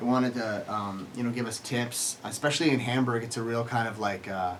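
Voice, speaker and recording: A man's medium-pitched voice moves at a fairly quick pace, with noticeable background noise around it. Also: fairly even intonation. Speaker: rock musician. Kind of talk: interview answer. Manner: casual, hesitant.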